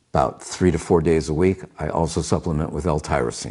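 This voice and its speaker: With vocal fry, a man speaks at a very deep, low pitch. His tone is dark and mellow, and his pace is moderate. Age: 70s. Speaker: health vlogger. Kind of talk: casual monologue to camera.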